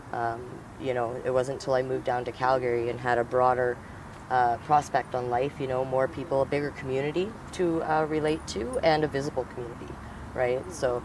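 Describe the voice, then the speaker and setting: With a Canadian accent, a man at medium pitch talks at a fairly quick pace with fairly even intonation over noticeable background noise. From northern Alberta, Canada. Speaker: activist and educator. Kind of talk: interview. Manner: halting.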